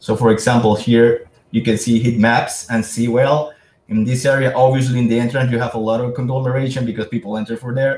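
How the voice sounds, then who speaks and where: A man speaks in a medium, somewhat breathy voice. His delivery is fairly quick and monotone, with flat intonation. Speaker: sales presenter. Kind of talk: webinar presentation.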